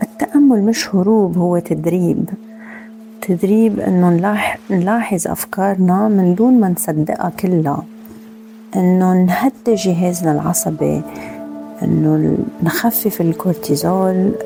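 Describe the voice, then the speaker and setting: A woman with a Lebanese accent speaks at a very slow pace and medium pitch, her loudness very even, with music playing in the background. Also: ordinary pitch variation. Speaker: meditation podcast host; former teacher. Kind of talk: personal podcast talk.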